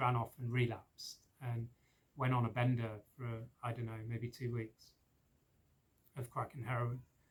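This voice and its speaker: Speaking at a moderate pace in a southern English accent, a man with a medium pitch sounds somewhat breathy. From England, Oxford. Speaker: spiritual practitioner, recovering addict. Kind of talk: personal testimony. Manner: hesitant, many fillers.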